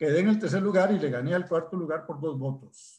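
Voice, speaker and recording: A man speaks with lively intonation. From Costa Rica, Desamparados (San José). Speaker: math professor and council candidate. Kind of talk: interview.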